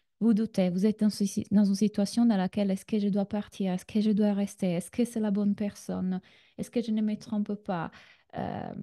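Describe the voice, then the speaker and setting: A woman with a slight Italian accent speaks at a fairly quick pace in a somewhat breathy, dark, mellow voice of medium pitch, her intonation monotone and flat, the sound dry and close with no echo over a quiet background. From Italy. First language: Italian (speaking French). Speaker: relationship coach. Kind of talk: online masterclass. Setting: video call. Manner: hesitant, many fillers.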